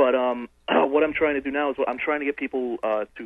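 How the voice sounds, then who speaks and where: In an American accent, the speaker has an unremarkable speaking voice, a moderate pace, and fairly even intonation. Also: man. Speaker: caller. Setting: phone call.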